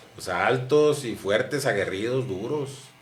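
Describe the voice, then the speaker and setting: A man at a fairly slow pace, his pitch swinging very widely, with audible room echo. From northern Mexico, Chihuahua (mining town near Camargo). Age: 50s. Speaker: former footballer and sportscaster. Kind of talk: interview.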